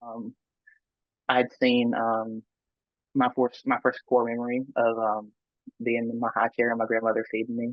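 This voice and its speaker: With a Southern US accent, a man of medium pitch speaks at a moderate pace in a monotone, flat intonation, leaving long, frequent pauses. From US South. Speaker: near-death experiencer. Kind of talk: interview testimony. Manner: halting.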